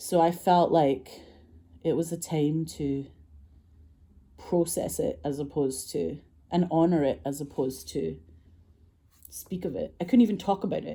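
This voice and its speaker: A dark, mellow voice in a Scottish accent, with vocal fry, lively intonation, a moderate pace and long, frequent pauses. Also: woman, very deep, low pitch for a woman. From Scotland. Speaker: filmmaker and actress. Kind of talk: casual storytelling monologue.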